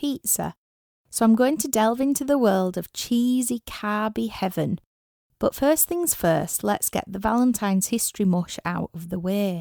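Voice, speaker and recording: A woman with a Yorkshire accent speaks at a moderate pace in a fairly high pitch, with lively intonation, big swings in loudness and a dark, mellow tone. The recording is very clean with a silent background and a dry, close sound with no echo. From Yorkshire, northern England. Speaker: rock musician and podcast host. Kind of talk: scripted podcast monologue.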